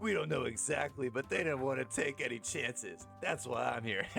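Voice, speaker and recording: Over clear background music, a man does a put-on character voice at medium pitch and a moderate pace. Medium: game stream. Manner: curt, terse.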